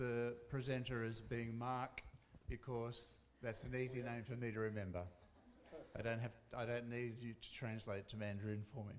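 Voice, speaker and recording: A man speaks in an Australian accent at a medium pitch, his intonation monotone and flat. Audible room echo and noticeable background noise come through. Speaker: academic researcher. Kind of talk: conference presentation. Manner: fast.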